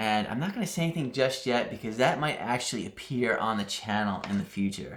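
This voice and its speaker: Over noticeable background noise, a man with a New England accent talks with lively intonation and hardly any pauses. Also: medium pitch for a man. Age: 40s. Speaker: crafting YouTuber. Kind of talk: casual Q&A monologue. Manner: casual with frequent fillers.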